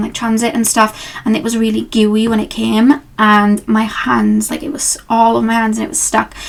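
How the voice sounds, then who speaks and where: Using an ordinary speaking voice, a woman talks at a fairly quick pace in a fairly high pitch. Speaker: tarot reader. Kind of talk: casual talk to camera. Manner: chatty, rambling.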